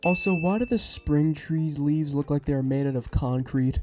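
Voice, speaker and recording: At a moderate pace, the voice comes through with music in the background. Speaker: voiceover narrator. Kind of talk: comedic game critique narration. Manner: sarcastic, casual.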